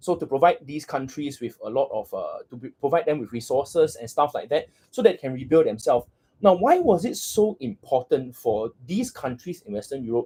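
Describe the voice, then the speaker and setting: A man's fairly high voice with a dark, mellow tone, somewhat breathy, at a fairly quick pace, with very wide pitch swings and big swings in loudness. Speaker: history tutor. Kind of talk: livestream revision lecture. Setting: livestream. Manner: halting, many fillers and repetitions.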